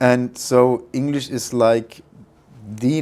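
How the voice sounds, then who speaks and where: A man with a non-native accent speaks at a medium pitch in a dark, mellow tone with fairly even intonation. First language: not English. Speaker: freight forwarding network manager. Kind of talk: business interview. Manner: hesitant, many fillers.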